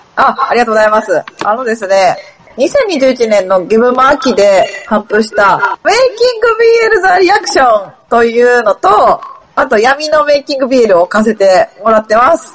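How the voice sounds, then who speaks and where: A woman's high-pitched voice with very wide pitch swings at a moderate pace, over noticeable background noise. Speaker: board game designer. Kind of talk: casual chat. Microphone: voice sometimes echoes.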